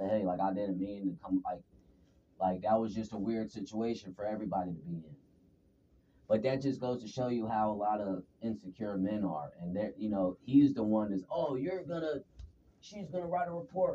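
Lively intonation over a dark, mellow tone at a moderate pace. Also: man, fairly low pitch for a man. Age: 30s. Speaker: employee under workplace investigation. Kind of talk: workplace investigation interview. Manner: assertive.

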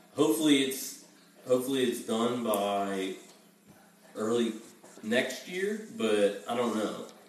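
Amid noticeable background noise and audible room echo, a man at medium pitch speaks at a fairly slow pace with ordinary pitch variation and long, frequent pauses. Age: 20s. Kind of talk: casual chat.

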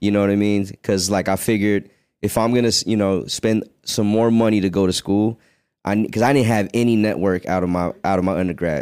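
A normal speaking voice with an American accent moves at a fairly quick pace and fairly even intonation. Its loudness stays very even. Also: man, fairly low pitch for a man, very clean recording, silent background. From Virginia. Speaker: podcast host. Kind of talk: casual chat.

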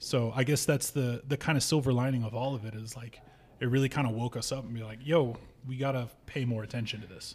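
Very fast, somewhat breathy speech in an American accent with fairly even intonation, in a very clean recording with a silent background. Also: man, medium pitch for a man. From Nevada, US. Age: 30s. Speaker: bar owner and punk musician. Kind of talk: casual chat.

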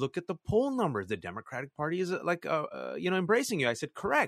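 In a Californian accent, a man speaks in a high voice with very wide pitch swings, recorded dry and close with no echo over a quiet background. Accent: Californian American. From US, San Francisco Bay Area (Fremont). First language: not English (Pakistani family language). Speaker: journalist and author. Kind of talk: interview. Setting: video call. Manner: animated.

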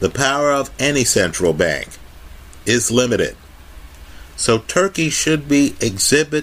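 With vocal fry and lively intonation, a man speaks at a fairly slow pace with very even loudness and long, frequent pauses. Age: 50s. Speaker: YouTube finance commentator. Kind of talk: solo video monologue.

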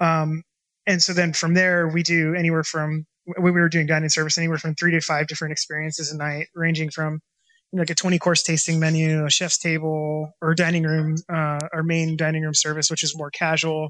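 In a US West Coast accent, the speaker uses a bright, sharp tone and monotone, flat intonation on a very clean recording with a silent background. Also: man, fairly high pitch for a man, fairly quick pace. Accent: US West Coast American. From Washington state, US Pacific Northwest. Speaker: chef and restaurant owner. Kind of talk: interview.

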